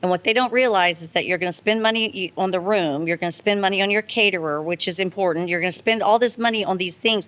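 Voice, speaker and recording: A woman talks fairly quickly in a normal speaking voice, her medium pitch showing ordinary pitch variation. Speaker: charity auctioneer. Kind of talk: podcast interview answer.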